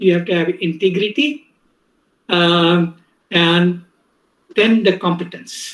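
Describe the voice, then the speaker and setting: A man's high voice with a Gujarati accent at a very slow pace, with long, frequent pauses and ordinary pitch variation. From India, Mumbai. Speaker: professor. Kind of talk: lecture.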